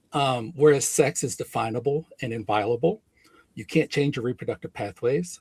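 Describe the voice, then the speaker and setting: At a moderate pace, a man with a medium-pitched, somewhat breathy voice speaks with ordinary pitch variation in a dry, close sound with no echo. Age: 60s. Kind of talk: heated debate.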